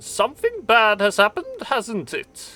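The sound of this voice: This is a put-on character voice with a German accent as part of the act. It is fairly high in pitch and moves at a moderate pace.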